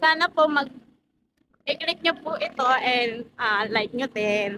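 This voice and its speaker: Speaking at a very slow pace, a woman with a high pitch uses lively intonation and a bright, sharp tone. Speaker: vlogger. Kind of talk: casual vlog chat. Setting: outdoors walking at night. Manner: soft-spoken.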